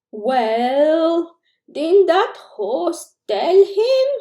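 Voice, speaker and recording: A female-sounding voice puts on a character voice at an extremely high pitch. Its pitch swings very widely. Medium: read story.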